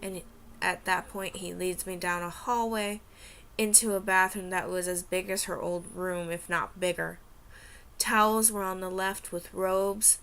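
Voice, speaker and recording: On a very clean recording with a silent background, a woman speaks in a bright, sharp tone with monotone, flat intonation. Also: medium pitch for a woman. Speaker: aspiring writer and vlogger. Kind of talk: reading aloud. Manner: stuttering; halting.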